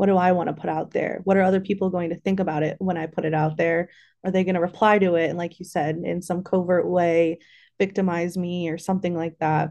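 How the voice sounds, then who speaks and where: Against a quiet background, a woman with a fairly low pitch and a dark, mellow tone speaks very fast in a flat, monotone way. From Central Illinois. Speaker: school psychology intern. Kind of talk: casual interview chat.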